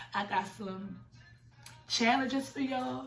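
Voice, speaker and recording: A woman is heard speaking, with audible room echo and noticeable background noise in the recording. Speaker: YouTuber telling a personal story. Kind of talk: storytime monologue. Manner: animated.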